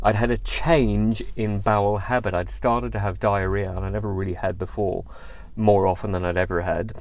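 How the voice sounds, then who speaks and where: In a British accent, a man talks at a moderate pace, with audible room echo. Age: 40s. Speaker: cancer survivor. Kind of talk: testimony. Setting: in a car. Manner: conversational, with fillers.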